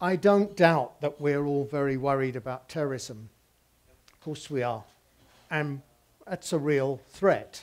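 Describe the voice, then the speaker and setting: Speaking with a British accent and long, frequent pauses, a man at a fairly high pitch shows big swings in loudness and ordinary pitch variation. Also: fairly slow pace. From England. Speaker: visual communication professor. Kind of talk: public talk. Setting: stage with audience. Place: cafe.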